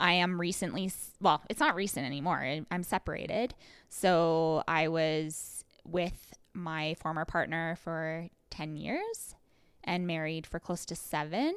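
In a very clean recording with a silent background, a woman with a Western Canadian accent speaks fairly slowly in a fairly low voice with fairly even intonation. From Canada, rural Alberta. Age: 30s. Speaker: podcast co-host. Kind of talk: casual chat.

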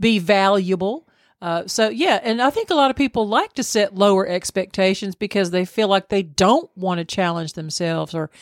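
On a very clean recording with a silent background and a dry, close sound with no echo, a woman with a Southern US accent speaks at a medium pitch and moderate pace with ordinary pitch variation. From US South. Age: 60s. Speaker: podcast co-host. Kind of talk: casual chat.

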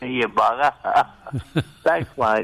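A man speaks very slowly in a bright, sharp tone. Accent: Australian. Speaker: talkback radio caller, former truck driver. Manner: casual, joking.

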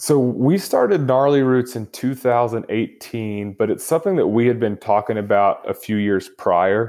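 Against a quiet background, a man with a Texan accent and a dark, mellow tone talks at a moderate pace with ordinary pitch variation and hardly any pauses. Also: medium pitch for a man. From Texas (Lubbock). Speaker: motorcycle tour guide and action photographer. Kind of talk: interview, casual chat.

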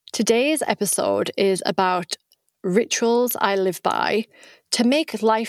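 The recording has a dry, close sound with no echo as a woman speaks with a British accent and ordinary pitch variation. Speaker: podcast host and coach. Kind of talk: solo podcast monologue.

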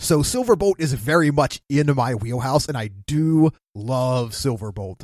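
Speaking fairly slowly with lively intonation, a man has an unremarkable speaking voice at a fairly high pitch, captured in a very clean, dry, close recording with a silent background and no echo. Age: 40s. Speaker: podcast producer guest. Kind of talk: casual chat.

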